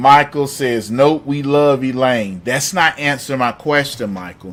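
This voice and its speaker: In an American accent, this voice moves at a fairly slow pace with ordinary pitch variation. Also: man, medium pitch for a man. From US South. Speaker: live-stream call-in show host. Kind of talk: live stream chat reading comments. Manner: animated.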